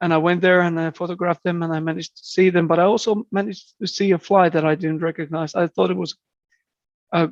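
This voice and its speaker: In a Finnish accent, a man speaks fairly quickly at a high pitch with fairly even intonation, in a dry, close sound with no echo. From southeastern Finland. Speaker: birder and entomologist. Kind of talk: podcast interview. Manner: halting, frequent repetitions.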